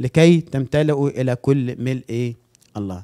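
Behind the man speaking, the background stays quiet. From Egypt. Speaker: pastor. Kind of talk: sermon. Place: church.

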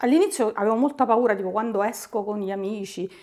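A woman speaks fairly quickly, and the background is quiet. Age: 50s. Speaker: client giving a testimonial. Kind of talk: testimony. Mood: warm, content. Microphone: lapel.

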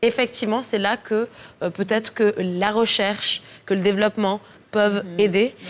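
A woman with a fairly high pitch speaks at a moderate pace in a monotone, flat intonation, leaving long, frequent pauses while her loudness swings widely. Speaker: TV talk show host. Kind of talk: TV talk show. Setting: TV studio. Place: studio. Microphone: lapel.

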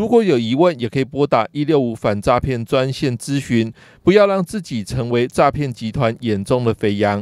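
The speaker has a Taiwanese accent and lively intonation, with hardly any pauses. The recording is very clean, with a silent background and a dry, close sound with no echo. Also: man, medium pitch for a man, moderate pace. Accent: Taiwanese Mandarin. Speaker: news reporter. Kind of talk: news reading.

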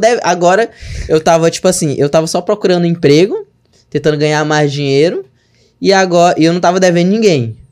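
A man's high-pitched voice at a fairly quick pace against a quiet background. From Brazil, interior of Maranhão. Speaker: digital marketing entrepreneur; podcast guest. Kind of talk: casual chat. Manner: animated. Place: studio. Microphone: studio mic.

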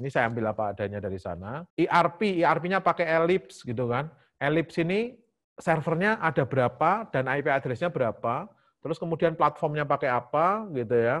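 Here is an ordinary speaking voice at a fairly quick pace with lively intonation. The background is quiet. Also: man, fairly high pitch for a man. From Central Java, Indonesia (Semarang). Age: 40s. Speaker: IT lecturer and enterprise architecture researcher. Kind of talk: lecture. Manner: fast.

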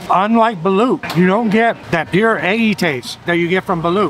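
Lively intonation at a fairly quick pace, dry with no echo, over light background noise. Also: man. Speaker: food vlogger. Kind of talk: casual vlog chat. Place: market. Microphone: phone near.

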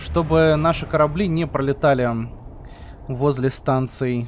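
A man talks at a fairly high pitch with fairly even intonation. His pace is fairly slow.

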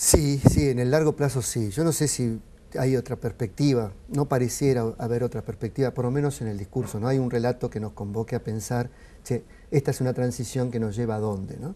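This man has a dark, mellow tone and ordinary pitch variation. He speaks at a fairly quick pace. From Argentina. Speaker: sociologist; guest. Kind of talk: interview. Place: studio. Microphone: lapel.

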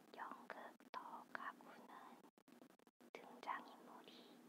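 The speaker is whispering. The pace is very slow. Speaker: ASMR creator. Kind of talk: whispered ASMR theatre review. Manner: whispered.

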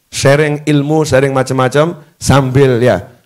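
The background stays quiet. Against it, a man talks very slowly. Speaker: Islamic preacher and teacher; Islamic preacher, teacher. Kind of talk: religious lecture. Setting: teaching hall with students, live recorded. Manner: increasingly loud. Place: hall. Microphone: handheld.

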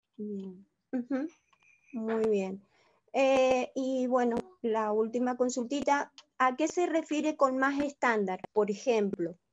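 Speaking very slowly, a woman uses a high pitch. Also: ordinary pitch variation. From Argentina, Mendoza. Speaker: cooperative worker. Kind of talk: question in online webinar. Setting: video call.

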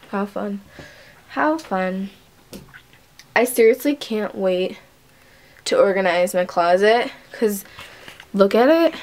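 A woman with an American accent, medium pitch and lively intonation, speaking at a very slow pace with long, frequent pauses over noticeable background noise. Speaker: vlogger. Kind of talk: casual vlog. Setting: at home.

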